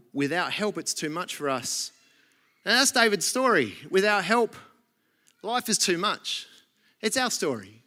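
With an Australian accent, a raised, projected voice in a bright, sharp tone speaks at a fairly slow pace, using lively intonation and long, frequent pauses. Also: man, high pitch for a man. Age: 40s. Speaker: pastor. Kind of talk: sermon.

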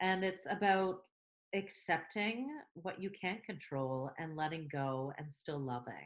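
Speaking very slowly with lively intonation, a woman with a Canadian accent has a fairly low pitch. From Canada. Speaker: theatre director, podcast co-host. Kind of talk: casual chat. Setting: remote recording.

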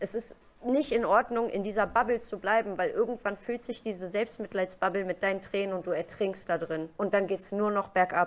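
A woman with a plain, everyday voice speaks at a medium pitch and a moderate pace. Her intonation is fairly even, with hardly any pauses. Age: 30s. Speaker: Twitch streamer. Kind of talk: casual interview.

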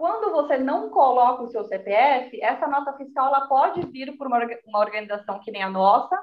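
High-pitched and lively in intonation, a woman speaks. Her pace is moderate. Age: 30s. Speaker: volunteer program worker. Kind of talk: casual interview.

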